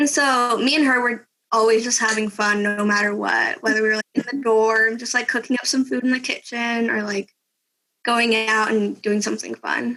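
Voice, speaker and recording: A woman talks at a moderate pace. Her pitch is fairly high and her intonation fairly even. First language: Spanish. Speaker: exchange student. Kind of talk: interview.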